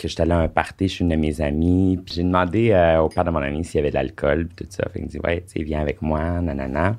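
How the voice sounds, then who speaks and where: A man with a Quebec accent speaks at a very fast pace with hardly any pauses. His very deep, low pitch holds a fairly even intonation. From Quebec (Sherbrooke, Eastern Townships). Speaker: former adult film actor. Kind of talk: casual interview.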